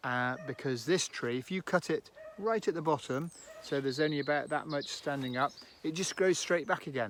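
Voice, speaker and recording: This man has a normal speaking voice with a fairly high pitch. He talks at a fairly quick pace, with ordinary pitch variation. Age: 60s. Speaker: farmer giving a tree lesson. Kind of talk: outdoor educational talk for children.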